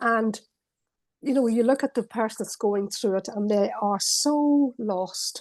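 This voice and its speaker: Delivered at a fairly slow pace with ordinary pitch variation, a plain, everyday voice comes through dry and close with no echo. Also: woman, fairly high pitch for a woman. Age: 60s. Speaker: interview series host. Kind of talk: interview.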